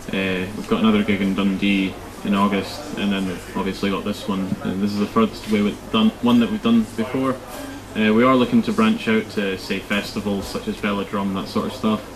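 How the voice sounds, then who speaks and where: Monotone and flat, a man's fairly low voice with a Scottish accent moves at a fairly quick pace through noticeable background noise. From Scotland, Crieff. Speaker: rock band drummer. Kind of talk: casual interview.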